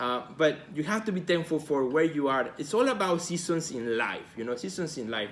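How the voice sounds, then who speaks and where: A man's fairly high, enthusiastic voice in a Spanish accent at a fairly quick pace. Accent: Spanish accent, noticeable. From Mexico. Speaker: artist and gallery director, video host. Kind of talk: live video talk to viewers. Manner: enthusiastic, repetitive with fillers.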